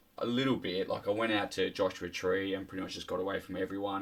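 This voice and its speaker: Over noticeable background noise, a man with an Australian accent talks at a very fast pace. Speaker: podcast guest. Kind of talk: casual chat. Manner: animated.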